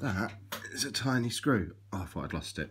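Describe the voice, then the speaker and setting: A man rattles off his words at a very fast pace, his pitch varying in an ordinary way, with light background noise behind him. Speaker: vlogger. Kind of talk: casual vlog chat. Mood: light, self-mocking. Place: home room. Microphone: phone near.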